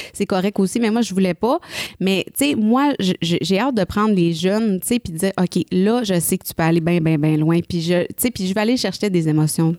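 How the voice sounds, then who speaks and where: A woman's medium-pitched, dark and mellow voice at a moderate pace, with ordinary pitch variation and a dry, close sound with no echo. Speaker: singer. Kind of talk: casual chat. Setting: studio.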